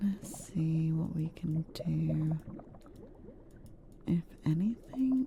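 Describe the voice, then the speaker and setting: Soft-spoken and calm, the speaker goes very slowly with long, frequent pauses. Noticeable background noise runs underneath. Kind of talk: casual gaming commentary to viewers. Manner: soft-spoken, calm.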